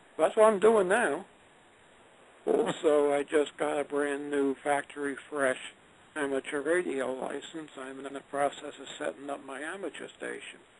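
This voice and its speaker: There's noticeable background noise as a man talks at a moderate pace, fairly high in pitch with ordinary pitch variation. His loudness swings widely. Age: 60s. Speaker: retired engineer and author. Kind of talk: interview. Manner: conversational.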